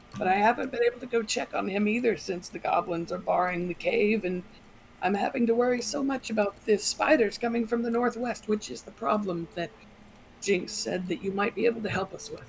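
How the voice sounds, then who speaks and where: Using a put-on character voice, a woman speaks soft and breathy at a medium pitch and a fairly quick pace, with clear background noise behind her. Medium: actual play. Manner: calm and graceful.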